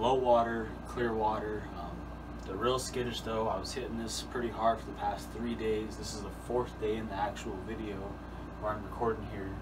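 A man talks at a moderate pace with noticeable background noise around him. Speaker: outdoors channel host. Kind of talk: casual vlog chat. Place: home room. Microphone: camera far.

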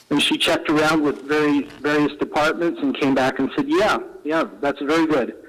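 Noticeable background noise behind a man speaking at a moderate speed. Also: very even loudness. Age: 60s. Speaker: member of the public giving comment. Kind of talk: public comment at council meeting. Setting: council meeting. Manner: halting, with many fillers.

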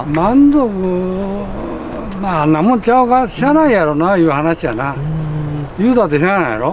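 Speaking at a fairly quick pace with very wide pitch swings, a man with a high pitch sounds dry with no echo over light background noise. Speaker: former Olympic champion. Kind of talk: interview answer. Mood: resigned, easygoing. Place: open country.

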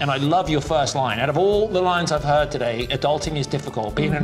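A man talks at a very fast pace in a fairly high voice with ordinary pitch variation. Clear music plays in the background. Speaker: pitchman and business coach. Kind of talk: coaching commentary to camera. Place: office.

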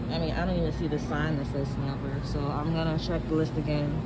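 Loud background noise sits under speech at a fairly quick pace. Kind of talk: casual vlog chat. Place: shop. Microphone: phone near.

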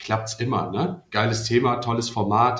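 A man at medium pitch speaks at a moderate pace in a plain, everyday voice. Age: 30s. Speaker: student and startup founder. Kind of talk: casual chat. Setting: video call.

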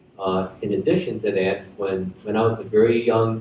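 Over light background noise and audible room echo, a man with an American accent speaks fairly slowly and somewhat breathily at a fairly low pitch with fairly even intonation. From US Midwest, Chicago. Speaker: retired army general; guest. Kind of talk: school assembly speech. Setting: school assembly with audience. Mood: warm, earnest. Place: hall. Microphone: podium.

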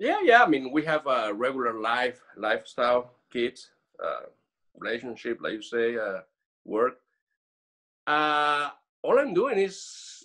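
With lively intonation, a man speaks at a fairly slow pace against a quiet background. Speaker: coaching program guest. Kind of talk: interview answer. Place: home room. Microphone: video call.

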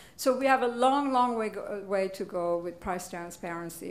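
Fairly slow speech from a woman with a fairly high pitch and ordinary pitch variation. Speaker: panel moderator and investment banker. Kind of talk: conference panel discussion. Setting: stage with audience. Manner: animated. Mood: upbeat, playful. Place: hall.

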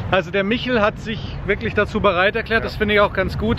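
A man speaks at a fairly quick pace with a high pitch. The sound is dry with no echo, though noticeable background noise is present. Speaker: car vlogger. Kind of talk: casual vlog chat. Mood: cheerful, joking. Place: street. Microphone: phone near.

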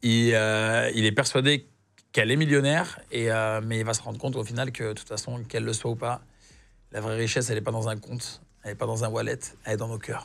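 The delivery is monotone, with flat intonation. It moves at a fairly quick pace. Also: man. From southern France, Nîmes; southern France. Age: 30s. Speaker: actor. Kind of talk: casual chat. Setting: studio. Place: studio. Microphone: lapel.

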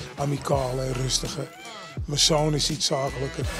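Clear music sits in the background of a dry sound with no echo. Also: man. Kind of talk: interview answer. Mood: warm, relaxed, proud. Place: gym.

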